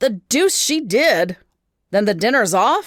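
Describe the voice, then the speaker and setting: A put-on character voice growls at a fairly high pitch, raised and projected. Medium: read story.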